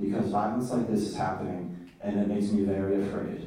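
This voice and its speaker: A man speaks with fairly even intonation. Noticeable background noise and audible room echo surround him. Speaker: university student. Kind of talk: panel talk.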